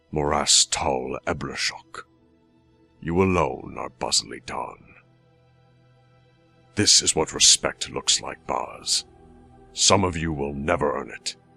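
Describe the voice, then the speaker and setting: A man does a put-on character voice at a very deep, low pitch with ordinary pitch variation, moving at a fairly slow pace with long, frequent pauses. The sound is dry and close with no echo, and faint music plays in the background. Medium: solo performance. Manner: cold, commanding.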